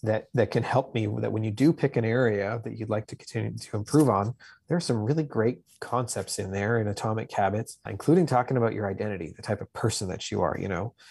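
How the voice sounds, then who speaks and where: Talking at a very fast pace, a man with a Canadian accent has a fairly low pitch, ordinary pitch variation and vocal fry. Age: 40s. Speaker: author and construction business owner. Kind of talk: interview. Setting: video call.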